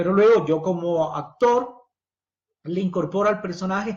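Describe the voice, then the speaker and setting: With lively intonation, a man talks at a high pitch and a moderate pace. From Ecuador. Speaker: theatre director and teacher. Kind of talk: livestream lecture. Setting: live video stream.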